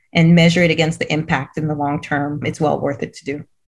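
The voice is somewhat breathy, moving at a fairly quick pace with monotone, flat intonation. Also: woman. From Cameroon. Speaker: head of a school for refugee girls. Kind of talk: interview conversation.

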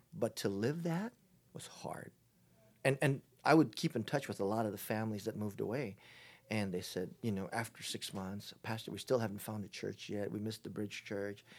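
Very clean recording, silent background, a man with a Hawaiian accent, fairly low pitch, ordinary pitch variation, fairly quick pace. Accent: Hawaiian American. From Hawaii, Honolulu. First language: Chinese. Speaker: pastor. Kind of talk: casual interview.

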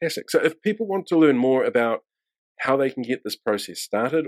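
Speaking very fast with a New Zealand accent, a man at medium pitch makes very wide pitch swings, in a dry, close sound with no echo. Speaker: podcast host. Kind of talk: casual interview.

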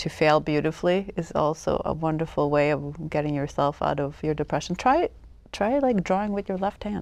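The pace is moderate. The background is quiet. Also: woman. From Sweden, Stockholm. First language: Swedish. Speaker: photographer. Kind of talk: interview.

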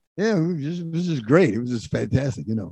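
Talking at a very fast pace, a man with a New York accent has a fairly high pitch and a dark, mellow tone. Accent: New York (Bronx). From New York City, South Bronx. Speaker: disco singer and producer. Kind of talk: storytelling interview.

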